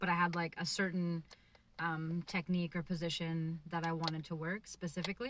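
This woman has an ordinary speaking voice, fairly low in pitch, delivered at a fairly quick pace with fairly even intonation. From Canada. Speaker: podcast host and jiu jitsu practitioner. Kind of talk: casual interview.

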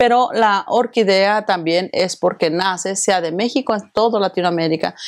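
In an ordinary speaking voice, a woman talks at a moderate pace and medium pitch, with ordinary pitch variation. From Mexico. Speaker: event organizer and association president. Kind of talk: interview.

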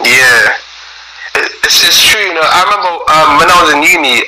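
With a London accent, a man talks at a fairly quick pace over noticeable background noise. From South London. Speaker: gospel musician. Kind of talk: interview. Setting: remote call.

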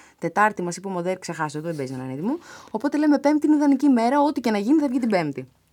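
Talking at a very fast pace, a woman with a fairly high voice makes very wide swings in pitch. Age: 30s. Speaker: journalist and presenter. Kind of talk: casual chat.

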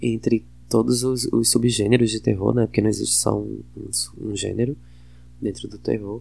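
A man talks at a moderate pace in a northeastern Brazilian accent. His loudness swings widely. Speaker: podcast host. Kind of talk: casual film review monologue. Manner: hesitant, many fillers.

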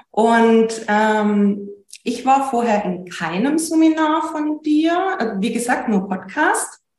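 A woman with a fairly high pitch speaks at a very slow pace, her pitch swinging very widely. Room echo is audible. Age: 30s. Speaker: business owner and coaching client. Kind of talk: interview.

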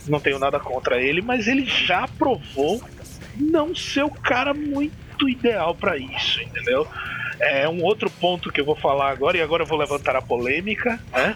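A man with a high voice talks at a moderate pace, his pitch swinging very widely, with music playing in the background. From Northeast Brazil (Maceió, Alagoas). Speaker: metal podcast host. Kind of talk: casual chat. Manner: animated.

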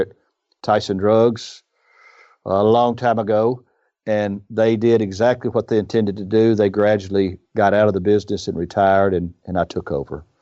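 Against a quiet background, a man with a Southern US accent talks at a moderate pace in a fairly low, dark, mellow voice with flat, monotone intonation. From US South, northern Mississippi. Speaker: independent pharmacy owner. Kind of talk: interview.

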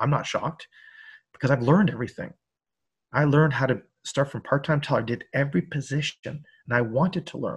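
A man talks at a fairly quick pace, his voice somewhat breathy, with ordinary pitch variation. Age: 50s. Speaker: high school personal finance teacher. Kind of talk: interview. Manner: hesitant, many fillers.

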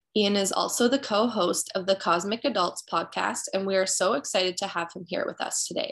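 At a moderate pace, a woman speaks at medium pitch with vocal fry and ordinary pitch variation. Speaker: podcast co-host. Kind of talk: scripted intro.

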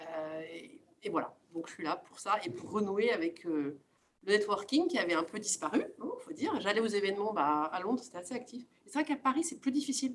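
Here a woman speaks at a fairly quick pace. Her pitch swings very wide. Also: medium pitch for a woman, big swings in loudness. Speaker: finance professional, alumna. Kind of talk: group discussion.

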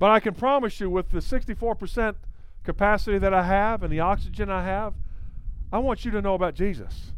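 A man with a North Carolina accent, high-pitched, at a moderate pace, with ordinary pitch variation and audible room echo. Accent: North Carolina twang. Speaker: evangelist. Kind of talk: sermon.

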